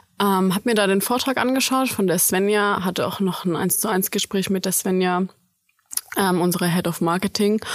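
A woman's plain, everyday voice at a medium pitch and moderate pace, with very even loudness and fairly even intonation. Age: 20s. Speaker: student intern. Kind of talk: casual interview.

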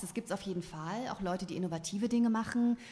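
This woman speaks in a normal speaking voice at a medium pitch. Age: 40s. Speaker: novelist. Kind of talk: casual chat. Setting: studio.

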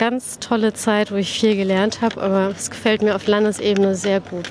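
Spoken at a moderate pace with monotone, flat intonation, the voice comes through noticeable background noise. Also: woman. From Berlin-Spandau, born in Tehran. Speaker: politician. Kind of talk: interview.

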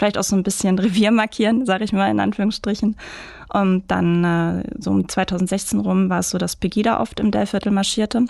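An ordinary speaking voice from a woman at a medium pitch, moderate in pace, with very even loudness and fairly even intonation, on a very clean recording with a silent background. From Ruhr area, Germany (Mülheim). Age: 30s. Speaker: photographer and marketing manager. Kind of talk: interview.

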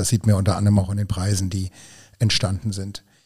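A man's somewhat breathy voice, dark and mellow in tone and fairly low in pitch, on a very clean recording with a silent background. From Hunsrück, Rhineland-Palatinate, Germany. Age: 50s. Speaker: energy company spokesperson. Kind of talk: podcast interview.

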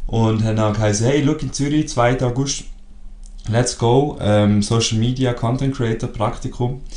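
A man with a Swiss accent and a dark, mellow tone at medium pitch, speaking fairly slowly with fairly even intonation amid audible room echo. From Switzerland. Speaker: podcast co-host. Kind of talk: casual chat.

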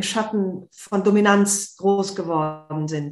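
A woman speaks in an unremarkable speaking voice, her pitch varying in an ordinary way. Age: 50s. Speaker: author and journalist. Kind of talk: interview.

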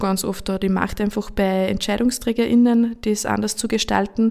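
A woman's medium-pitched voice moves at a moderate pace with monotone, flat intonation, recorded very cleanly against a silent background. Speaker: youth ministry worker and tailor. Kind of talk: panel discussion.

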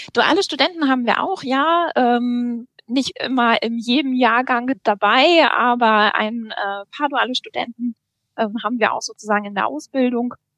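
A woman speaks at a high pitch and a fairly slow pace, with ordinary pitch variation. The sound is dry and close, without echo. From North Rhine-Westphalia, Germany. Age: 30s. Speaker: bank apprenticeship manager. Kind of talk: podcast interview.

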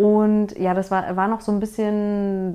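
A woman with a slight Berlin accent speaks in a dark, mellow tone. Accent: slight Berlin-area. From small town near Berlin. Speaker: finance podcaster. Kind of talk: personal story monologue. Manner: hesitant, many fillers.

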